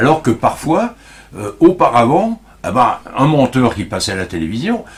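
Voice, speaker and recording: Somewhat breathy, a man at a medium pitch speaks at a fairly slow pace, his pitch swinging very widely. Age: 70s. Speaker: local heritage association president. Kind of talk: interview. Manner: halting.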